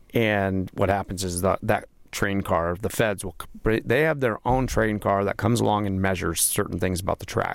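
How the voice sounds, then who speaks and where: On a very clean recording with a silent background, a man with an American accent speaks at a moderate pace in an unremarkable speaking voice, fairly low-pitched with ordinary pitch variation. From Las Vegas, Nevada. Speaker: podcast host. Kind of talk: casual chat. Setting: studio.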